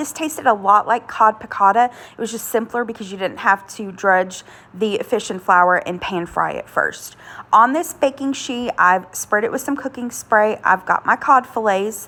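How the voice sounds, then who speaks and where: In a normal speaking voice, a woman talks at a moderate pace and a fairly high pitch with ordinary pitch variation. Her loudness swings widely. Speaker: home cook, cooking channel host. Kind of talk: casual cooking voiceover.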